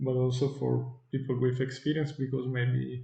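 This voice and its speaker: Audible room echo surrounds a man talking at a medium pitch and a moderate pace. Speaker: software developer. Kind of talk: tutorial. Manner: halting, many fillers.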